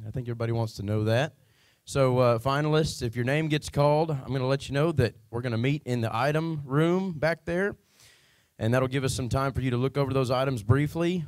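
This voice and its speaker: A man speaks in a normal speaking voice with an American accent, at a fairly quick pace and medium pitch with ordinary pitch variation. The recording is very clean, with a silent background. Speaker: current state champion auctioneer, announcing finalists. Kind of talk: casual stage announcement to a crowd.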